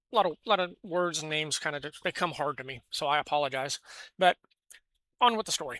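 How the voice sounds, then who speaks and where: With an American accent, a woman talks at a very fast pace with a very deep, low pitch and lively intonation, broken by long, frequent pauses, in a dry, close sound with no echo. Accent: self-described weird. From California. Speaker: gaming news commentator. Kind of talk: casual news commentary. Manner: halting, many fillers and restarts.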